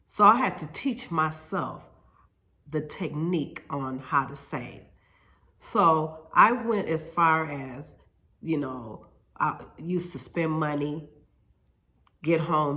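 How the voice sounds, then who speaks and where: A woman with a very deep, low pitch, a bright, sharp tone, ordinary pitch variation, big swings in loudness and long, frequent pauses, with audible room echo. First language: Spanish. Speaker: hair stylist and salon owner. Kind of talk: casual vlog monologue. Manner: halting, with fillers and repetitions.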